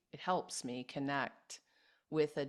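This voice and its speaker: A woman speaks in a very deep, low voice. Her pace is very slow, against a quiet background. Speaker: podcast host. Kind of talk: interview host talk. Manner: enthusiastic.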